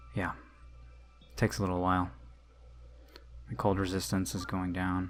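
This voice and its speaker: Very deep and low, the man's voice moves at a moderate pace with lively intonation. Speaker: gaming youtuber. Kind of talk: let's play commentary. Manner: casual, hesitant with fillers.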